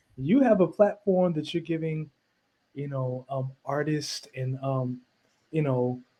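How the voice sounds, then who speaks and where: A man with a fairly high pitch and a dark, mellow tone talks at a fairly slow pace, somewhat breathy, with ordinary pitch variation. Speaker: singer and minister. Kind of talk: interview. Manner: halting, many repeated words.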